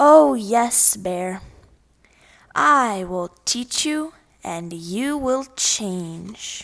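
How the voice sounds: A put-on character voice from a woman, medium-pitched and fairly bright, with vocal fry, lively intonation and a very slow pace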